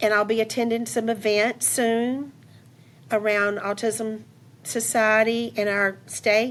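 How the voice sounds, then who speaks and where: A woman is speaking. Her voice is fairly high, with fairly even intonation. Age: 60s. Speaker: entrepreneur and teacher. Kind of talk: podcast interview.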